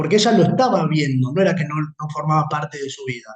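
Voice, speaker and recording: This man speaks at a fairly quick pace. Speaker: law lecturer. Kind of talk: lecture. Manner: fast.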